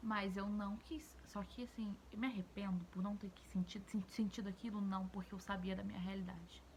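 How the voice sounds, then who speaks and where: A woman's normal speaking voice at a medium pitch and moderate pace, with fairly even intonation. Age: 20s. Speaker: YouTuber, mother of two. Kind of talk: casual vlog commentary to camera.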